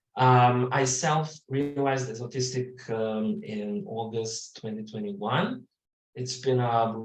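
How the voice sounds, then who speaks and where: With a non-native accent, a man speaks somewhat breathily at a medium pitch and a fairly slow pace, with audible room echo. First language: not English. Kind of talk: webinar introduction. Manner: halting, searching for words.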